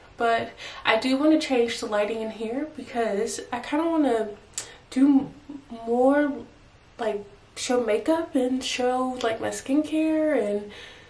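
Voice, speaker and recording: A woman speaks at a high pitch and a fairly slow pace. Her pitch variation is ordinary, with audible room echo. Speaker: vlogger. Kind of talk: casual vlog chat. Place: home room. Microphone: phone near.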